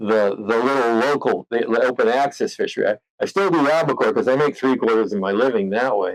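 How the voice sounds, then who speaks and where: A man with an American accent talks at a fairly quick pace with hardly any pauses. His loudness stays very even. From California central coast. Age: 60s. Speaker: commercial fisherman. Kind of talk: interview. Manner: hesitant, many fillers and repeats.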